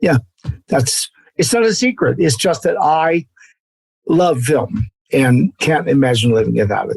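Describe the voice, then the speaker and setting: A man's fairly high voice with vocal fry and very wide pitch swings, fairly slow with long, frequent pauses, very even in loudness, dry and close with no echo. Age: 70s. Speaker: actor. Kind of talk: casual chat.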